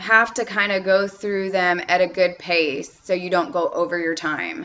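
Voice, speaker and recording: A woman uses a normal speaking voice at a medium pitch and a fairly slow pace. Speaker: online English teacher giving tips. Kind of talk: tutorial.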